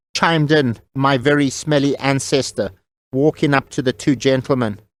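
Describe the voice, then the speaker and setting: A man's ordinary speaking voice, fairly high-pitched, at a moderate pace, with very even loudness and fairly even intonation, on a very clean recording with a silent background. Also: dry, close sound with no echo. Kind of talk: audio drama narration.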